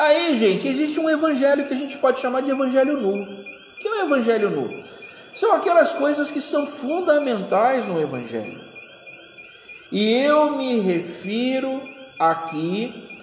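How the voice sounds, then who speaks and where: Very wide pitch swings mark a fairly slow delivery, heard through audible room echo and noticeable background noise. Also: man, extremely high pitch for a man. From Rio de Janeiro, Brazil. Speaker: pastor or Sunday school teacher. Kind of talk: Sunday school bible study lecture.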